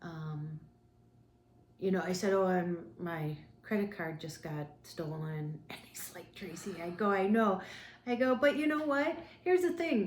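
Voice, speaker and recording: A woman's medium-pitched voice at a fairly slow pace, with very wide pitch swings, long, frequent pauses and audible room echo. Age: 50s. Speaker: travel vlogger. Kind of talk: casual chat.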